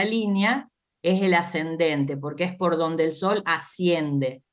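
A woman with an unremarkable speaking voice talks at a fairly slow pace. Her pitch is fairly low, with ordinary variation. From Argentina, Santa Fe. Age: 50s. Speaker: astrologer. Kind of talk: interview explanation.

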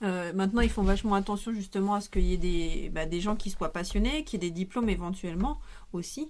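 Her pitch medium and its variation ordinary, a woman speaks at a fairly quick pace. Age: 40s. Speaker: volunteer at a media library, former bookseller. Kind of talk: casual chat. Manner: halting.

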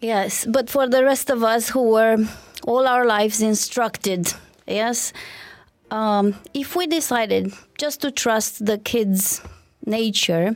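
Speaking very slowly in a Romanian accent, a woman has a fairly high pitch and ordinary pitch variation. Long pauses come often, and the very clean recording has a silent background. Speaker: parenting expert and co-host. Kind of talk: podcast interview discussion.

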